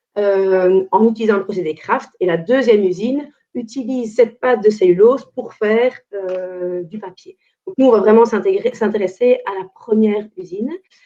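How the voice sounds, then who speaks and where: A woman's voice is dark and mellow, fairly high in pitch, with ordinary pitch variation. Her loudness swings widely. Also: moderate pace. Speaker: environmental consultant. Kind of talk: webinar presentation.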